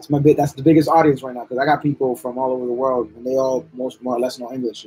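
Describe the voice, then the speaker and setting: A man talks at a very fast pace with hardly any pauses, his tone dark and mellow. His intonation is monotone and flat, yet his loudness swings widely. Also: medium pitch for a man. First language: bilingual English and Spanish, English stronger. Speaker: artist livestreaming while drawing. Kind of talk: casual livestream chat. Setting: live stream. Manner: repetitive, halting restarts.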